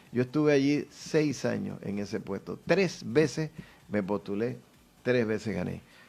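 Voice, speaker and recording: A man speaks in a plain, everyday voice at a medium pitch. His intonation is lively and his pace fairly slow. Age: 60s. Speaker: politician. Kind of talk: interview.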